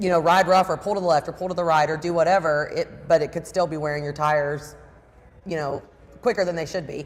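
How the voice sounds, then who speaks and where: A woman talks at a very fast pace with a fairly low pitch. Her tone is animated. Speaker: service department manager. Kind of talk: casual chat. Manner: loud.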